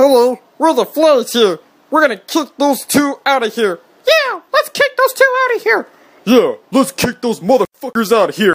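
Put-on character voice from a man, extremely high in pitch, at a moderate pace

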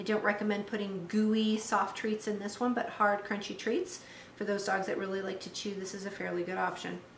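Flat, monotone speech comes at a fairly quick pace with audible room echo and light background noise. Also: woman. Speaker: dog trainer demonstrating toys. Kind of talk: tutorial. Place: kitchen.

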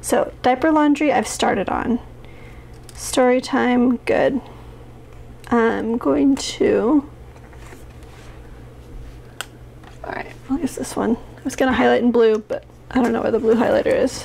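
A woman talks at a fairly slow pace. Her speech has long, frequent pauses. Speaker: planner vlogger. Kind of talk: casual vlog chat. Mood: overwhelmed, slightly rueful.

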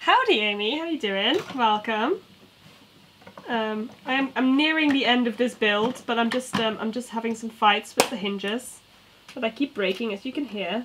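A woman with a British accent speaks at a moderate pace and a fairly high pitch. Her pitch varies in an ordinary way, and background noise is noticeable. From UK. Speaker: toy building streamer. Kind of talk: casual live stream chat. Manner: animated. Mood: relaxed, playful. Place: home room.

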